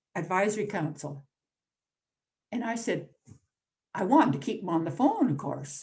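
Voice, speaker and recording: With a Canadian accent, the voice sounds somewhat breathy. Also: woman. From Northern Ontario, Canada. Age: 80s+. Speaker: newspaper columnist and activist. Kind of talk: invited talk. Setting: video call.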